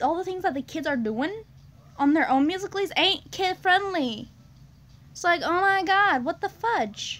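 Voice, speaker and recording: A woman speaks at a moderate pace. Her extremely high pitch swings very widely. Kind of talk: casual vlog chat. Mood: amused, slightly awkward. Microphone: phone near.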